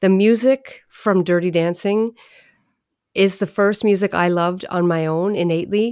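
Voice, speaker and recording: In a Maritime Canadian accent, a woman speaks at a moderate pace. Her voice sits at a fairly low pitch with fairly even intonation. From Prince Edward Island, Canada (Summerside). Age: 40s. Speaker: poet and musician. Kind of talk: casual interview chat.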